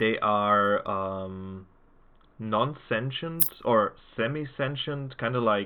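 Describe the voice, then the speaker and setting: A man with a German accent speaks at a very slow pace, using ordinary pitch variation. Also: medium pitch for a man. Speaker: tabletop game master. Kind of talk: tabletop game narration. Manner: sing-song; halting, many fillers.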